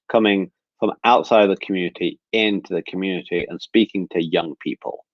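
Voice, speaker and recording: A man with an English Midlands accent. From England, Nottingham. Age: 30s. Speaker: speaker sharing personal story. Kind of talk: webinar talk, personal testimony. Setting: video webinar.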